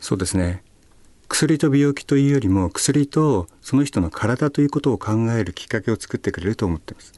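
With a dark, mellow tone and medium pitch, a man talks at a fairly quick pace with lively intonation and big swings in loudness, the sound dry and close with no echo. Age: 50s. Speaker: pharmacist and karate competitor. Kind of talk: radio interview. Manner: polite.

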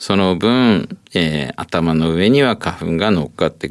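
With lively intonation, a man talks in a normal speaking voice. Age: 60s. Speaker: ENT professor and allergy specialist. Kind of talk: expert interview. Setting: studio.

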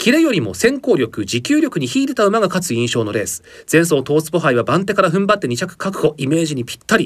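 A man with a high voice rattles along very fast with hardly any pauses and very wide pitch swings. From Japan, Aomori. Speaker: announcer. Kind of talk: news reading. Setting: studio.

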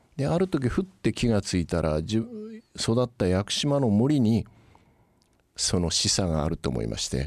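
A man speaks at a moderate pace in a fairly low voice with very wide pitch swings, on a very clean recording with a silent background. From Kyushu, Yakushima and Kagoshima. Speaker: company chairman. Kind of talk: interview. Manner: polite, measured.

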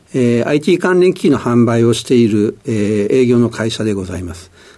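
The man's tone is dark and mellow, his intonation lively and his pace moderate. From Tokyo, Sumida (shitamachi). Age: 60s. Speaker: company president and founder. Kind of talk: interview. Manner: halting, frequent fillers.

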